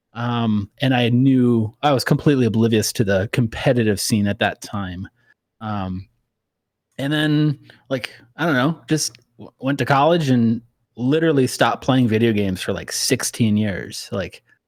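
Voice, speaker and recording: A man with an Upper Midwest accent, medium in pitch, at a moderate pace with ordinary pitch variation, in a dry, close sound with no echo on a very clean recording with a silent background. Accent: Upper Midwest American. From US Midwest, Wisconsin. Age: 30s. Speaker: airline pilot and gaming streamer. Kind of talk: casual podcast interview.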